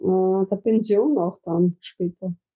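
Here a woman speaks at a very slow pace. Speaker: activist, founder of a grandmothers' protest group. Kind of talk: interview.

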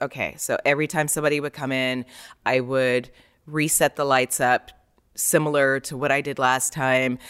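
A woman's very deep, low voice with an American accent, monotone and flat at a moderate pace, in a very clean, dry, close recording with a silent background and no echo. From New York, Queens (left around age 8-10, spent summers there). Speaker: photographer. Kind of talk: interview conversation.

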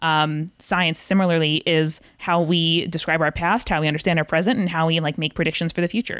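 This woman speaks in a plain, everyday voice, fairly low in pitch, at a fairly quick pace with hardly any pauses. Her intonation stays fairly even, her loudness is very even, and the recording is very clean with a silent background. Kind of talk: casual interview chat.

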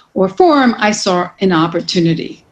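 Against noticeable background noise, a woman with an American accent speaks at a medium pitch and a fairly slow pace. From New York City. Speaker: real estate executive. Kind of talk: interview.

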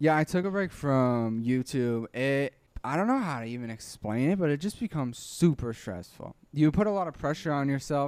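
Lively intonation marks this man's normal speaking voice, fairly high in pitch and at a moderate pace, on a very clean recording with a silent background. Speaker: YouTuber, dubber and musician. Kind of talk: casual interview.

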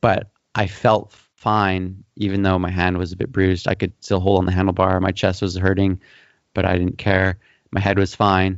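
At a moderate pace, a man speaks in a flat monotone with a very deep, low pitch. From western Canada. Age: 30s. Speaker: mountain bike YouTuber. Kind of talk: casual interview.

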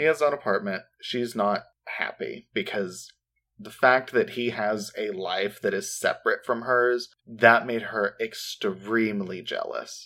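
At a fairly slow pace, a man speaks in a bright, sharp tone with ordinary pitch variation, in a very clean recording with a silent background. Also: medium pitch for a man. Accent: American. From US Midwest. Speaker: true crime podcast co-host. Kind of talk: casual chat with case storytelling.

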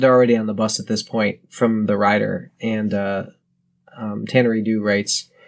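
Against a quiet background, a text is read aloud in a natural voice with fairly even intonation.

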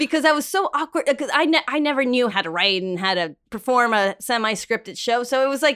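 Her pitch high and her swings in pitch very wide, a woman talks at a fairly quick pace. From Mexico. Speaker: podcast co-host. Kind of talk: casual chat. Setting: home studio.

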